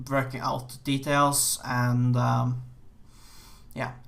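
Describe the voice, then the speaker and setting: A man speaks with an American accent and a bright, sharp tone. Audible room echo surrounds his voice. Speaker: game programmer. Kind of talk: game dev vlog. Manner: halting, many fillers.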